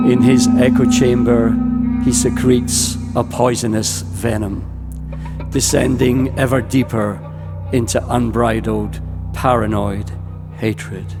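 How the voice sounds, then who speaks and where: Over music in the background, a man talks with long, frequent pauses and very even loudness. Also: medium pitch for a man, ordinary pitch variation, fairly slow pace. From Ireland. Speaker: poet. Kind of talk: spoken word poetry performance. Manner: fierce, impassioned.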